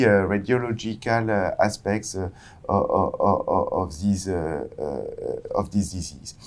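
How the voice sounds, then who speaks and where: The pace here is very slow. It belongs to a man. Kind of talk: interview answer. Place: studio. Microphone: lapel.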